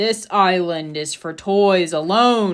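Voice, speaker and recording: A woman's put-on character voice at medium pitch, delivered at a very slow pace. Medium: read story.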